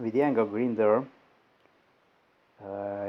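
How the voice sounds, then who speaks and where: A man with a non-native accent speaks in a fairly low, monotone, flat voice. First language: not English. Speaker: DIY video maker. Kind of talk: tutorial.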